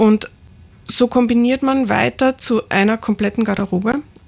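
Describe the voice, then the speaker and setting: Somewhat breathy in tone, the speech holds to fairly even intonation. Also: woman. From Lower Austria, near St. Pölten. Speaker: master tailor and fashion designer. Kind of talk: radio interview.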